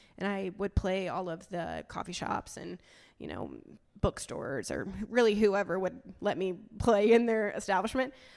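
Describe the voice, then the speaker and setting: Speaking at a moderate pace, a woman uses a plain, everyday voice with fairly even intonation. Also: big swings in loudness. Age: 20s. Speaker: musician, board vice president of a girls' music nonprofit. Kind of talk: panel discussion. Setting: stage with audience.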